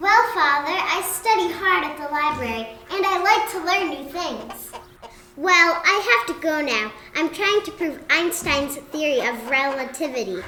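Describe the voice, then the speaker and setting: Over clear background noise, a woman puts on a squeaky character voice, high-pitched with lively intonation, at a moderate pace. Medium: comedy sketch. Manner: shifts between rustic and proper.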